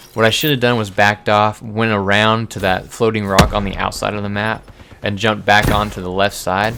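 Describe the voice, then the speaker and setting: The voice is quiet and monotone, with flat intonation at a fairly quick pace, over noticeable background noise. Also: man, fairly low pitch for a man. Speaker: gaming youtuber. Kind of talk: gameplay commentary. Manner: casual, halting with fillers.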